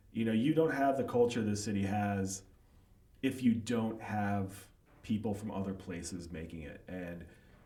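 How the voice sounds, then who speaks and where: A fairly low-pitched man with an American accent, moderate pace and ordinary pitch variation, big swings in loudness, and audible room echo. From US Midwest, Chicago suburbs. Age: 40s. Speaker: writer and author. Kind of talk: casual interview chat. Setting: livestreamed podcast.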